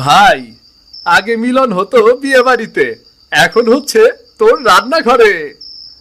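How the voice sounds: A cartoonish character voice, fairly bright in tone, with big pitch swings and a slow pace. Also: man, high pitch for a man.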